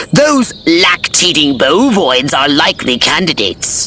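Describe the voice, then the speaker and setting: This man puts on a cartoonish character voice, fairly high in pitch. He goes at a fairly slow pace over clear background noise. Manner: pompous, condescending.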